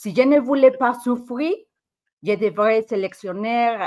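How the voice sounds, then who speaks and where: A woman speaks with a Mexican accent. Her intonation is lively. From Mexico. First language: Spanish (speaking French). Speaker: football fan and podcaster. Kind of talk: casual chat. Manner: halting, repeats words.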